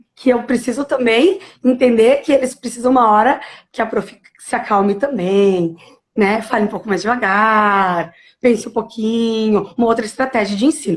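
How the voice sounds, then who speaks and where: Moderately paced, this is an unremarkable speaking voice with ordinary pitch variation. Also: woman, fairly high pitch for a woman. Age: 30s. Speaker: primary school teacher. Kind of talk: live-stream interview. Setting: live video stream.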